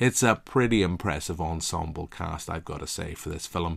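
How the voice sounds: A man speaks at a moderate pace with a Northern Irish accent, his low voice carrying vocal fry and ordinary pitch variation. The recording is very clean, with a silent background.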